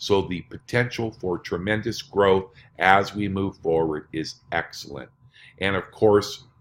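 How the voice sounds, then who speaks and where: In a normal speaking voice, a man with a fairly low pitch talks at a fairly slow pace and fairly even intonation, recorded very cleanly against a silent background. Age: 60s. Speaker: network marketing presenter. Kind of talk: sales pitch.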